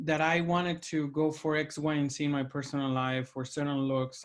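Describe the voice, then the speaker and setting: Over a quiet background, a man with a Mexican accent speaks at a fairly quick pace in a fairly high pitch with monotone, flat intonation. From Mexico, Monterrey. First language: Spanish. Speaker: opera administrator and podcast host, former tenor. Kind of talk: casual video chat interview.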